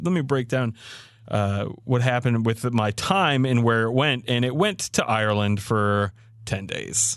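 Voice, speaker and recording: A moderate pace with a slight Southern US accent. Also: man. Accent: slight Southern twang. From Maryland, US. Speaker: podcast co-host. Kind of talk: casual chat.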